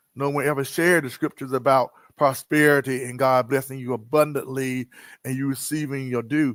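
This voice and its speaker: The sound is dry and close with no echo as a man talks fairly quickly at a medium pitch in a monotone, flat manner. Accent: American. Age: 60s. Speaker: poet and author. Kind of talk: interview.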